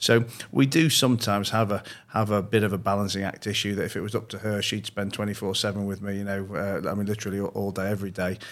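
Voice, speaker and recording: Speaking at a very fast pace, a man uses fairly even intonation. He has a Yorkshire accent. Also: fairly low pitch for a man. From northern England, Leeds. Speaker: entrepreneur and investor. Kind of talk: interview. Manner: frequent repetitions and restarts.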